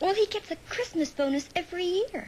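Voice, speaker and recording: A squeaky put-on character voice moves at a fairly quick pace with lively intonation over clear background noise. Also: woman. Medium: short film.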